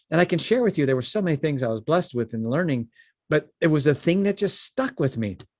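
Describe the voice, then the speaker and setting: Talking very fast in a Chicago accent, a man with a fairly high voice sounds animated, his pitch swinging very widely, in a dry, close recording with no echo, very clean and with a silent background. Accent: Chicago-area American. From US Midwest, Chicago suburbs. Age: 60s. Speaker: business founder. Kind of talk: podcast interview.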